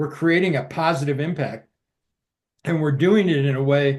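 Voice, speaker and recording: Speaking at a fairly quick pace, a man uses a normal speaking voice, fairly high in pitch, with fairly even intonation. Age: 60s. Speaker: military veteran promoting stem cell treatment. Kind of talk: casual interview.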